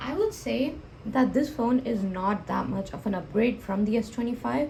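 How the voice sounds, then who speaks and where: Delivered at a moderate pace with ordinary pitch variation. There is noticeable background noise. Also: woman, fairly high pitch for a woman. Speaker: tech reviewer. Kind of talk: product review. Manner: halting, many self-corrections.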